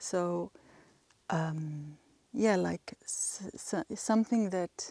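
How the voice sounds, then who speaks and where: A woman talks very slowly in a medium pitch, with a dark, mellow tone and ordinary pitch variation. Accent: Swedish. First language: Swedish. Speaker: ritual play practitioner. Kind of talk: interview. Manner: halting.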